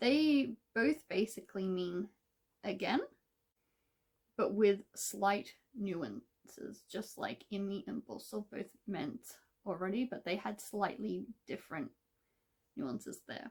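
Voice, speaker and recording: A woman's medium-pitched voice, very slow, with vocal fry, lively intonation, big swings in loudness and long, frequent pauses. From Australia. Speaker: Korean language content creator. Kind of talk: tutorial. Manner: casual.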